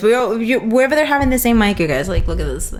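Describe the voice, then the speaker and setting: With a Spanish accent, a woman speaks at a very fast pace with ordinary pitch variation amid noticeable background noise. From Dominican Republic. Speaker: photographer and streaming show host. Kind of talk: casual interview chat.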